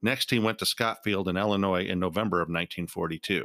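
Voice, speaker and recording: A man speaks at a fairly low pitch and a fairly quick pace, his tone solemn yet bright and sharp. The recording is very clean, with a silent background. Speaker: podcast host. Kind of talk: history documentary narration, scripted and read aloud. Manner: formal, measured, solemn and even-paced.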